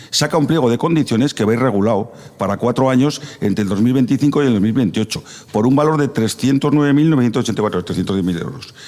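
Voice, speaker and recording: Noticeable background noise behind a man's medium-pitched voice, very fast pace and ordinary pitch variation. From Navarre, Spain (Tudela area). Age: 60s. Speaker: radio debate panelist. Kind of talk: radio debate.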